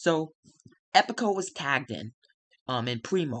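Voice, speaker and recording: A quiet man's voice, fairly high-pitched, with very wide pitch swings, a bright, sharp tone and a dry, close sound free of echo. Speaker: gaming video narrator. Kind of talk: casual narration of a simulated wrestling show. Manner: hesitant, many fillers.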